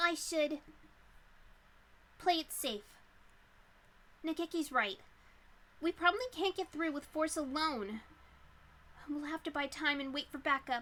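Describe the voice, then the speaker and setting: A woman performs a put-on character voice at a high pitch. She keeps a moderate pace with long, frequent pauses. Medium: actual play.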